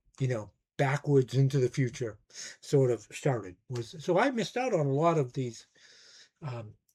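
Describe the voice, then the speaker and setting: A somewhat breathy man's voice with long, frequent pauses, on a very clean recording with a silent background. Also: medium pitch for a man, ordinary pitch variation, moderate pace. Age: 60s. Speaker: music YouTuber, record collector. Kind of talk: casual monologue review.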